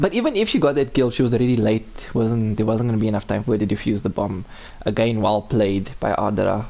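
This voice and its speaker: A man with a South African accent, medium in pitch, talking at a very fast pace with very even loudness. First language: Afrikaans. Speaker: esports caster. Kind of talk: live commentary. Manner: animated.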